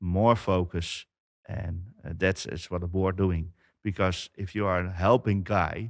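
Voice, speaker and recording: In a very clean recording with a silent background, a man with a Dutch accent speaks in a very deep, low pitch with fairly even intonation. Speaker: company founder, IT business owner. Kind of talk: interview. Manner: halting.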